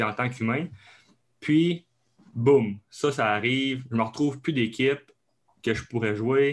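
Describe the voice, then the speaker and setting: Here a man talks at a fairly slow pace. His pitch is medium and his intonation fairly even. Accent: Abitibi. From Quebec, Abitibi. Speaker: kinesiologist and strength coach. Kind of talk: podcast interview. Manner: hesitant, many fillers.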